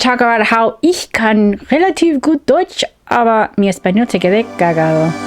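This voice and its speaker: A woman speaks at a high pitch with very wide pitch swings and very even loudness. Music plays in the background. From United States, Peruvian-American family. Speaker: science fiction and fantasy author. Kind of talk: casual talk to camera. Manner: fast.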